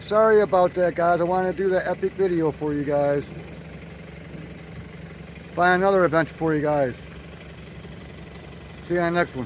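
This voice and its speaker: A high-pitched man at a fairly quick pace, with fairly even intonation, a dry sound with no echo and light background noise. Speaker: adventure vlogger. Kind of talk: casual vlog chat. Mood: disappointed. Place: open country. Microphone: phone near.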